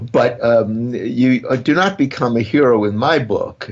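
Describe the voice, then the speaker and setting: A man speaks with a Brooklyn accent. His pitch is medium. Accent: Brooklyn accent, retained. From Brooklyn, New York. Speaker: criminal defense lawyer. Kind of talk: interview.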